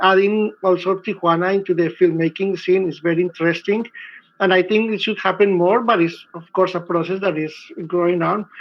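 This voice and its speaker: A man with a Spanish accent, high-pitched, fairly even in intonation, at a fairly quick pace. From Colombia. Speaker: filmmaker. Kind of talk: panel discussion.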